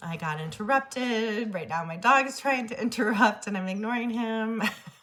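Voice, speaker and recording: At a moderate pace, a woman with fairly high pitch and ordinary pitch variation talks with big swings in loudness over noticeable background noise. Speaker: spiritual medium and self-love vlogger. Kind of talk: personal vlog monologue. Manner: hesitant, many fillers.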